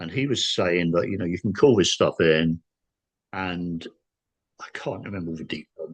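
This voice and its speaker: A man's very deep, low voice with an English accent, ordinary pitch variation and a moderate pace, with long, frequent pauses and big swings in loudness, against a quiet background. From England. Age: 60s. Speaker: paranormal experiencer. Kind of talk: casual chat. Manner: halting.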